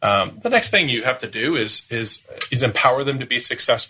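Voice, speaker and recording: This man's tone is bright and sharp. He speaks at a moderate pace. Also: quiet background. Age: 40s. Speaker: marketing agency founder. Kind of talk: podcast interview. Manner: youthful-sounding.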